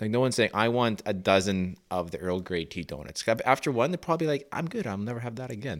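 With a Canadian prairie accent, a man speaks at a fairly low pitch with lively intonation on a very clean recording with a silent background. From Saskatchewan. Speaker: podcast panelist. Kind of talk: casual chat.

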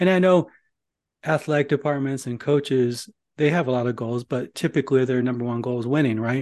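A man with an American accent uses an ordinary speaking voice at medium pitch, talking at a fairly quick pace with fairly even intonation over a quiet background. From northern Indiana. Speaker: podcast host. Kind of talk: podcast interview.

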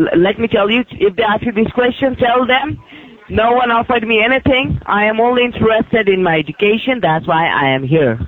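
Against noticeable background noise, a man speaks at a fairly quick pace in a high pitch, with lively intonation and very even loudness. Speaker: scammer caller. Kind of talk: scam phone call. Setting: phone call.

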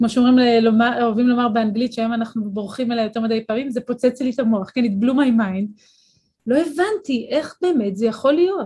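A woman speaks very fast in a dark, mellow tone. Her voice is fairly high, with ordinary pitch variation. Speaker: neuroscience and philosophy professor. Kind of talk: interview. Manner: clear diction.

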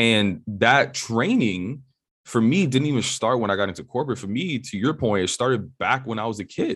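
A man with an American accent has an ordinary speaking voice and ordinary pitch variation, recorded against a quiet background. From New York City, Upper West Side of Manhattan. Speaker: entrepreneur and podcast host, former tech executive. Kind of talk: podcast interview. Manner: casual.

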